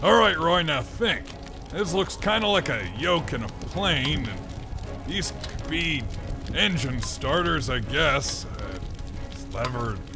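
A man with a fairly high pitch, heard over loud background noise. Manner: cocky, brash, aggressive.

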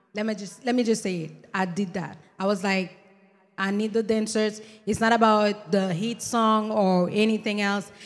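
In a monotone, flat delivery at a very slow pace, a woman speaks at a medium pitch. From Haiti. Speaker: singer; interviewee. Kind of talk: interview. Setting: live event venue with audience. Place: hall. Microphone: handheld.

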